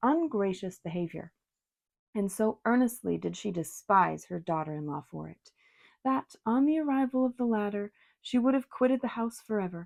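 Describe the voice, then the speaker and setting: A soft-spoken woman of medium pitch in a calm tone with lively intonation, at a moderate pace, over a quiet background with a dry, close sound and no echo. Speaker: tarot reader and ASMR reader. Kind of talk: soft-spoken audiobook-style reading of a classic novel. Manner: soft-spoken, calm, relaxing.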